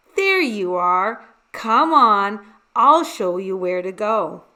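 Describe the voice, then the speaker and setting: Putting on a character voice, a woman speaks at a very slow pace and medium pitch with lively intonation. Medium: read story. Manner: gushing, brisk.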